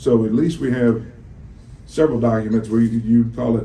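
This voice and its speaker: A man talks at a moderate pace and a medium pitch. Room echo is audible. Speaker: attorney. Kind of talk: courtroom cross-examination. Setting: courtroom. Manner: loud.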